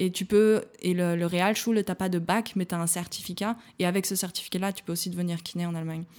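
Very fast and monotone, a woman talks with flat intonation at a medium pitch. The recording is very clean, with a silent background. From France, small village in the Ain. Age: 20s. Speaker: physiotherapist. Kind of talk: casual interview. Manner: halting, many fillers and repetitions.

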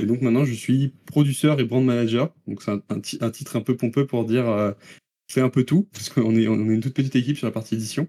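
A man's very fast speech, dark and mellow in tone, with fairly even intonation and a dry, close sound with no echo. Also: medium pitch for a man. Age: 20s. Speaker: video game producer. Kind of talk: interview.

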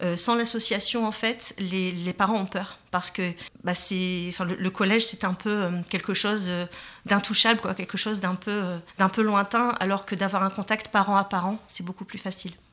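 Her tone bright and sharp, a woman speaks at a moderate pace in a medium pitch with monotone, flat intonation. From northern France, Tourcoing. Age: 40s. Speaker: parents' association president. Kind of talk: radio interview. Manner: hesitant, many fillers.

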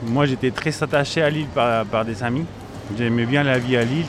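Over noticeable background noise, a man talks at a moderate pace with medium pitch and ordinary pitch variation. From Chile. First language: Spanish (speaking French). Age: 30s. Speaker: grocery shop owner. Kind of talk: interview. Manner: halting, repeats words.

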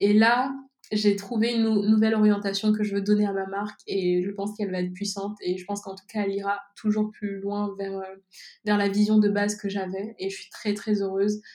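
Flat and monotone, a woman's medium-pitched voice moves at a fairly quick pace with big swings in loudness. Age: 20s. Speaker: entrepreneur, cosmetics brand founder. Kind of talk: interview. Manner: hesitant, many filler words.

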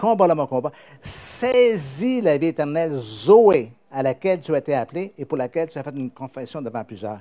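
A man with a fairly high voice and a dark, mellow tone swings widely in both pitch and loudness, recorded dry and close with no echo. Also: moderate pace. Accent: Quebec. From Quebec. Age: old. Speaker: pastor. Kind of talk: sermon.

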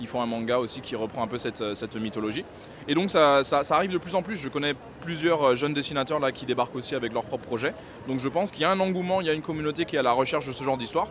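Noticeable background noise sits behind a man's fairly high voice. He speaks at a very fast pace with ordinary pitch variation. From West Africa. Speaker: manga artist. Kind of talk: interview.

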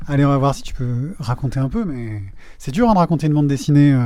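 A very fast man's voice with a dark, mellow tone, fairly high pitch and lively intonation. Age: 40s. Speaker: podcast host. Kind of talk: casual chat.

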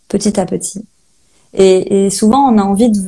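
The woman's tone is dark and mellow, somewhat breathy. Her pitch sits at a medium level with ordinary variation. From Brittany, Saint-Malo. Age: 30s. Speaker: holistic guide and medium. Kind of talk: interview. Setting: Instagram live video call.

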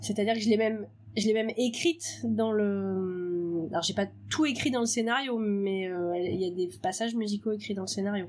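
A woman's medium-pitched voice at a moderate pace, with ordinary pitch variation. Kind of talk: casual interview.

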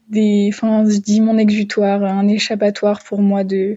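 A woman talks fairly slowly at a medium pitch, somewhat breathy. Her intonation is monotone and flat. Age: 20s. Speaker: medical student. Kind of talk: voicemail testimony.

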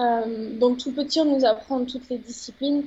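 A woman speaks at a moderate pace in a high voice. Her intonation stays fairly even. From France, Médoc. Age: 20s. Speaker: roller freestyle athlete. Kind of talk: interview.

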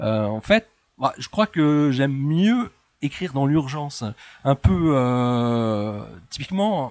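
Recorded with a dry, close sound and no echo, a man with a fairly high pitch speaks very slowly, with long, frequent pauses and lively intonation. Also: very clean recording, silent background. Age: 40s. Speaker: physicist and author. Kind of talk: interview. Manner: hesitant.

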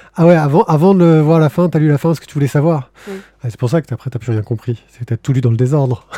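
Talking at a very fast pace, a man with a fairly high pitch and a dark, mellow, somewhat breathy tone shows ordinary pitch variation and big swings in loudness in a dry, close sound with no echo. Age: 40s. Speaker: podcast host. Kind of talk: casual chat; reading aloud.

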